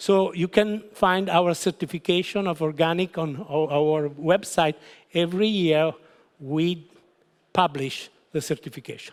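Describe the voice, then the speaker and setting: A man with a high pitch and ordinary pitch variation speaks in a strong Italian accent, in a very clean recording with a silent background. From Italy. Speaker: winery founder. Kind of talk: wine seminar presentation. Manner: halting.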